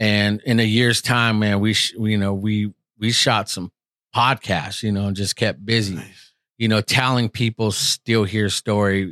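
A man speaks at a fairly slow pace in a fairly low, bright, sharp voice with monotone, flat intonation. The recording is very clean and silent in the background, dry and close with no echo. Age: 40s. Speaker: podcaster and former youth pastor. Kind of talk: testimony.

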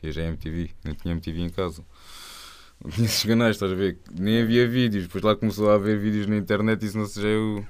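This man has an ordinary speaking voice, fairly low in pitch, delivered at a fairly quick pace with fairly even intonation. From Algarve, Portugal. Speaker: rapper. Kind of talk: casual interview. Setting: radio studio.

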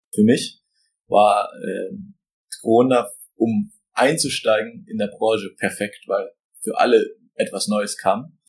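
A man talks at a very slow pace, pausing long and often. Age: 20s. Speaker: business owner. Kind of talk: interview answers.

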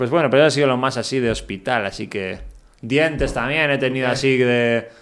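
At a fairly quick pace, a man talks in a normal speaking voice at medium pitch. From Basque Country, Spain. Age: 30s. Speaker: traveler, touring cyclist. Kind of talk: casual interview.

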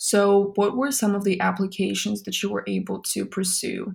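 A woman speaks with a somewhat breathy voice in a very clean recording with a silent background. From Russia. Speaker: podcast host. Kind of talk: interview.

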